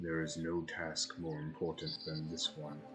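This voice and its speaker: Using a put-on character voice, a man speaks with very deep, low pitch at a moderate pace over clear background noise. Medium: actual play. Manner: formal, measured, archaic phrasing.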